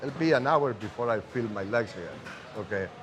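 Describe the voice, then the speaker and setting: With music playing in the background, a man speaks with a Spanish accent at a moderate pace, using lively intonation at a medium pitch. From Uruguay. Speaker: cigar maker. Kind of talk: casual interview. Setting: cigar factory.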